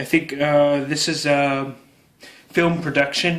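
With a Canadian accent, a man speaks at a fairly slow pace with fairly even intonation. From Canada. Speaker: YouTuber doing product unboxing. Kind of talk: unboxing video narration. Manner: casual with frequent fillers and hesitations. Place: home room. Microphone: phone near.

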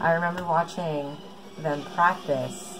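A woman speaks very slowly at a fairly low pitch with ordinary pitch variation, while clear music plays in the background. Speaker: vlogger. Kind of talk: casual vlog chat. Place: home room. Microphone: earbuds.

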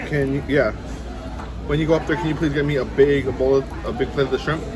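Clear music plays in the background as a man talks at a very fast pace in a monotone, flat delivery. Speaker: food vlogger. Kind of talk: casual vlog chat. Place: hall. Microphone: phone near.

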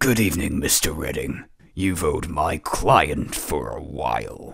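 Raspy and very deep, low in pitch, a man's cartoonish character voice moves at a fairly slow pace. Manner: calm, polite, menacing.

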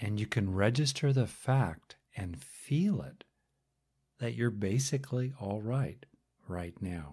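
A man's medium-pitched, somewhat breathy voice, dark and mellow, calm and soothing in tone, very slow, with long, frequent pauses and lively intonation. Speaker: guided meditation teacher. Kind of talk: guided meditation. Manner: slow, calm, soothing; pausing often with long silences between phrases.

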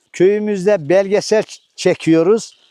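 Speaking very slowly in a high pitch, a man has a dark, mellow tone and fairly even intonation, recorded dry and close with no echo. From Turkey, Sivas Suşehri. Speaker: retiree, villager. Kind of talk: casual interview testimony.

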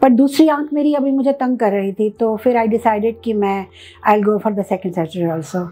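A woman speaks at a fairly high pitch with a dark, mellow tone. Her intonation is lively and her pace moderate. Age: 60s. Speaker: cataract surgery patient. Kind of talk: patient testimonial. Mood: calm, pleased. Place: office. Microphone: lapel.

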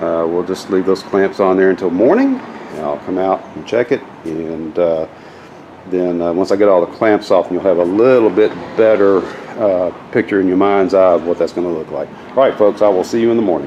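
A man's very deep, low pitch at a moderate pace, with fairly even intonation and light background noise. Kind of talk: tutorial. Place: garage. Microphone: phone near.

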